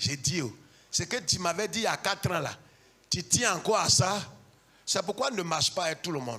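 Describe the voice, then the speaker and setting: Loud and animated, a man speaks at a high pitch and a fairly quick pace, broken by long, frequent pauses. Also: lively intonation. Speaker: pastor. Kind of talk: sermon.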